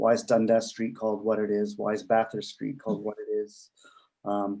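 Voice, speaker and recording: A man talks at a moderate pace in a medium pitch. His tone is dark and mellow, and his intonation is flat and monotone. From Canada, Toronto. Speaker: discussion participant. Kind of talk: discussion.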